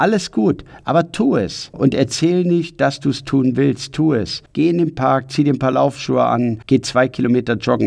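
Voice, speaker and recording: A man with a medium pitch and vocal fry talks at a moderate pace. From Ruhr area, Germany. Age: 50s. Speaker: personal development coach. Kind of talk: motivational podcast monologue. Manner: energetic.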